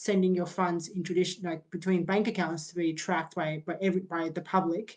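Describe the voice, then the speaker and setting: The voice is monotone, with flat intonation and an Australian accent. It moves at a fairly quick pace. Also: woman. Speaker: crypto startup founder. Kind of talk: interview on community video call. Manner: halting, many fillers and repetitions.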